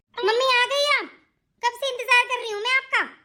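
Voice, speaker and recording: In a put-on character voice, a woman squeaks at an extremely high pitch, talking very fast with fairly even intonation. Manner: shouting, impatient.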